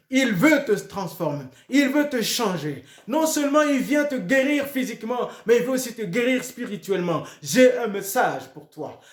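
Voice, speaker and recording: This man has an extremely high pitch and lively intonation. He speaks at a fairly slow pace over noticeable background noise. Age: 60s. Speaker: pastor. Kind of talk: sermon. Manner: repetitive, hesitant restarts.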